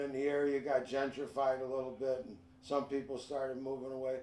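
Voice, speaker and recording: This is a man with a Chicago accent. He talks at a fairly quick pace. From Chicago, north side. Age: 70s. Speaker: retired park supervisor. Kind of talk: casual interview.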